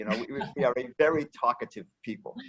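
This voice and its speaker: Speaking at a moderate pace with an American accent, a man uses an ordinary speaking voice pitched fairly high. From United States. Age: 60s. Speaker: founder of a book center. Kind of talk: interview.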